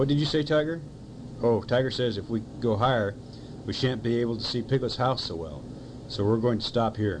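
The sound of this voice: The passage is read in an unforced reading voice. Pitch varies in an ordinary way.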